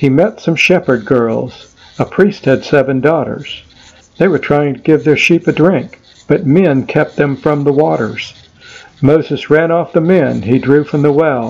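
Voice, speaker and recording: The delivery is fairly slow. Pitch varies in an ordinary way. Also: man, fairly high pitch for a man, very even loudness. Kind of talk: rhymed poem performance, storytelling verse. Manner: rhythmic, sing-song rhyming cadence, animated storytelling; playful, lightly humorous tone with dramatic emphasis.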